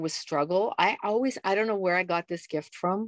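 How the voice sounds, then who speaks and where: A woman's unremarkable speaking voice with a Canadian accent, medium in pitch with ordinary variation, dry and close with no echo against a quiet background. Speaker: lifestyle coach and jazz singer. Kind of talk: interview.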